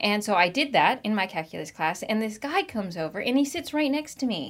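A woman with a Pacific Northwest accent, her fairly high voice making very wide pitch swings at a moderate pace. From US Pacific Northwest (Marysville, Washington). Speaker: children's ministry director. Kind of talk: casual interview.

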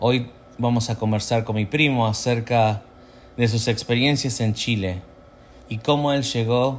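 A man with an Argentine accent, medium in pitch, fairly slow in pace, his intonation fairly even. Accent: Argentine Spanish (voseo). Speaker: channel host. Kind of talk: casual chat.

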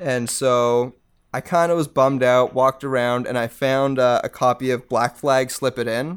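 A man's normal speaking voice with a Canadian accent, medium pitch, fairly even intonation and a moderate pace. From Canada, Mississauga, Ontario. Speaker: post-hardcore band vocalist. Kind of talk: casual interview chat.

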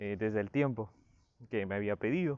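A man at a moderate pace. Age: 20s. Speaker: psychologist. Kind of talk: solo podcast talk. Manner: hesitant with fillers.

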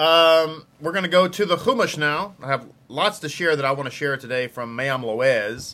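Speaking with a Texas accent, a man has a fairly high pitch and a bright, sharp tone. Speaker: rabbi and online Torah teacher. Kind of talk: live-streamed Torah study lesson. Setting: live video stream. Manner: casual, friendly, chatty.

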